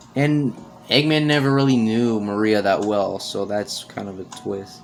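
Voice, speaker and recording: A man speaks fairly slowly in a fairly low voice, with an animated tone and ordinary pitch variation. Noticeable background noise runs behind him. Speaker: gaming youtuber. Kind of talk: let's play commentary. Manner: halting, self-repeating; casual, animated.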